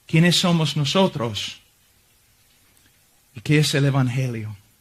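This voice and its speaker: A man with an English accent. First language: English (speaking Spanish). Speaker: visiting preacher. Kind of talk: sermon. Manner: halting.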